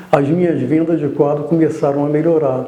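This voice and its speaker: There is audible room echo and noticeable background noise as a man with a fairly high pitch speaks. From Brazil, Rio de Janeiro. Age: 60s. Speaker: artist, painter. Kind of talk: testimony. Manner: halting.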